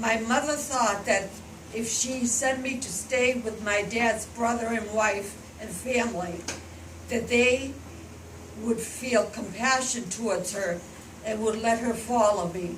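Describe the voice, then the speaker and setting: Speaking at a fairly slow pace with fairly even intonation, a woman with a fairly high pitch is heard over noticeable background noise and audible room echo. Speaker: grandmother telling her life story. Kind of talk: storytelling to schoolchildren.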